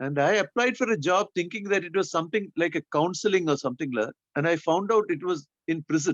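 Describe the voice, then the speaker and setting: This man talks at a very fast pace with a Keralan accent. His pitch is high and his loudness stays very even. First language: Malayalam. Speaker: speaker introducer, former prison worker. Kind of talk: casual introduction on a webinar. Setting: video call.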